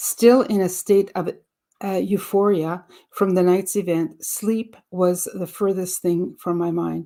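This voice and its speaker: Very slow and monotone, a woman with a French accent speaks at medium pitch in a dark, mellow tone on a very clean recording with a silent background. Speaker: audiobook reader. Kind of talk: reading aloud; casual introduction. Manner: halting, with fillers.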